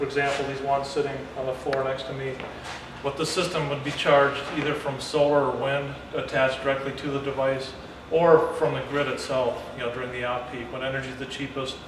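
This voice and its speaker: Over noticeable background noise and audible room echo, a man talks at a fairly quick pace in a flat, monotone intonation. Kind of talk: interview answer. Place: factory.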